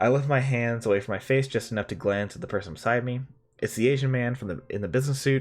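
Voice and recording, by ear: The pitch moves up and down in an ordinary way. It is a natural voice reading aloud.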